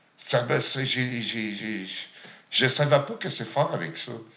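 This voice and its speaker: In a room with audible echo and noticeable background noise, a man speaks. His pitch sits in the medium range and varies in an ordinary way. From Outaouais, Quebec (Gatineau). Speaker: chef living with HIV. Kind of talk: testimony. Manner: halting.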